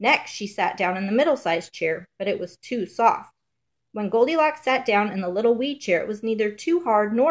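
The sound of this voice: Over a quiet background, an unforced reading voice moves with lively intonation.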